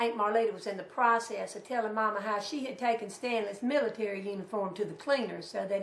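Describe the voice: A woman speaks at a moderate pace, with audible room echo around her.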